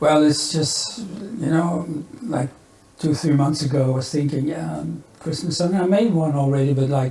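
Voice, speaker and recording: Amid noticeable background noise and audible room echo, a man with a Flemish Belgian accent talks at a moderate pace in a fairly high pitch with ordinary pitch variation. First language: Dutch (Flemish). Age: 70s. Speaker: musician. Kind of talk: podcast interview. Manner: halting.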